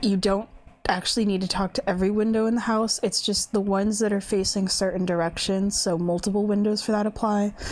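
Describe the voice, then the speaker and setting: Speaking at a fairly quick pace, a woman keeps a very even loudness and a monotone, flat intonation. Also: medium pitch for a woman. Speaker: video game commentator. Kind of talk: casual monologue. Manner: fast; rambling with fillers.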